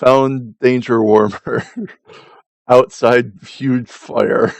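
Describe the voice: In a put-on character voice, the man drawls very slowly at a medium pitch.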